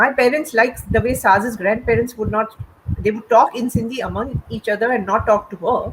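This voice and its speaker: The woman here has a high pitch. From India. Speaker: writer. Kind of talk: panel conversation. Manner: halting.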